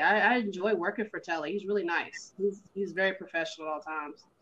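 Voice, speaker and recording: A woman with a Southern US accent talks at a very fast pace in a bright, sharp tone and a medium pitch. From US South, Carolinas. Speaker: professional wrestler. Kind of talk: casual interview.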